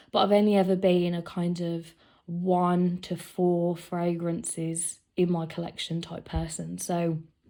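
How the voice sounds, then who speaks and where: On a very clean recording with a silent background, a woman with a British accent speaks fairly slowly in a fairly low pitch, her tone dark and mellow and her intonation monotone and flat. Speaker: fragrance collector. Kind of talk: casual talk to camera.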